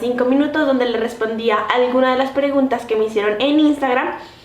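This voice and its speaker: A high-pitched woman at a moderate pace, fairly even in intonation, with audible room echo and noticeable background noise. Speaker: vlogger. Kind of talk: vlog.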